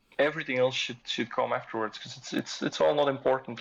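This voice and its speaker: A man at a very fast pace with a non-native accent. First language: not English. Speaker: fitness community member and father. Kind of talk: casual podcast chat. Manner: halting, many repetitions.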